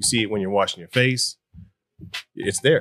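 Very fast talking by a man, ordinary pitch variation throughout. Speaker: podcast host. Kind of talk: casual podcast interview.

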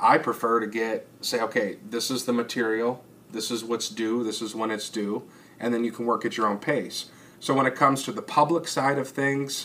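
With an unremarkable speaking voice, this man talks at a moderate pace, his medium pitch carrying fairly even intonation. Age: young. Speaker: local elected official. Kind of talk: casual interview.

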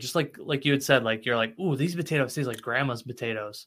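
A man rushes along at a very fast pace, his intonation lively. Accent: American. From US Midwest (Cicero, Illinois area). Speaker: podcast host. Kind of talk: casual chat; scripted narration.

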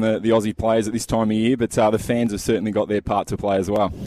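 A man's medium-pitched, monotone voice at a very fast pace, dry and close with no echo. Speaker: tennis reporter. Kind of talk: live report, casual. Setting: at tennis venue.

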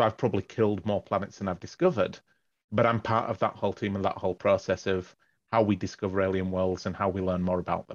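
In an English accent, a man delivers his words very fast in a fairly low, flat monotone, recorded dry and close with no echo. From northern England. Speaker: astrophysics professor. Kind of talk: interview. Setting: phone call.

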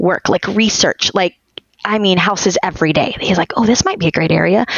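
A woman's normal speaking voice at a moderate pace, with ordinary pitch variation. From Texas. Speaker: homeschooling mother of many, dental hygienist. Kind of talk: casual interview chat.

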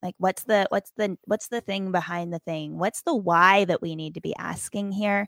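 A woman with an American accent speaks in an ordinary speaking voice at medium pitch, with fairly even intonation, a moderate pace and hardly any pauses. The recording is very clean with a silent background and a dry, close sound with no echo. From Appalachia, West Virginia-Virginia border. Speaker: hospice chaplain and author. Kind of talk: interview.

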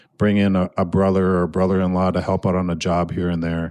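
Recorded very cleanly against a silent background, a man with an American accent speaks at a moderate pace in a very deep, low pitch and a dark, mellow tone, the sound dry and close with no echo. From Minnesota, Annandale. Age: 40s. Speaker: podcast host. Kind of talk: casual interview. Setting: studio.

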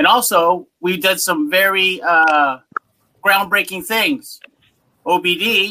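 A man's high, raised and projected voice, bright and sharp in tone, with lively intonation. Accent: American. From Massachusetts (Worcester). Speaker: university rugby coach. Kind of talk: panel discussion.

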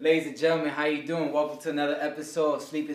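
A man speaks in a fairly high voice with an American accent. Noticeable noise sits in the background. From New York (Harlem). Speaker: podcast host. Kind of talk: casual interview chat.

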